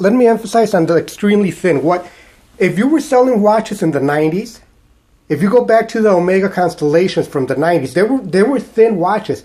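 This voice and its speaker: A man's high-pitched voice with a dark, mellow tone, a Mexican accent, lively intonation and a moderate pace. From Mexico. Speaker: watch collector YouTuber. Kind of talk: casual video monologue. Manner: halting, repeats words.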